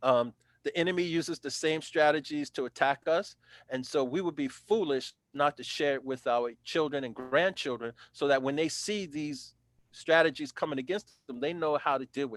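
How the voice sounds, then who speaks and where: A man with an American accent talks at a moderate pace in a normal speaking voice and a fairly high pitch, recorded dry and close with no echo in a very clean recording with a silent background. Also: ordinary pitch variation. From New York (South Bronx). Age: 60s. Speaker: former city councilor. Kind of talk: interview, testimony.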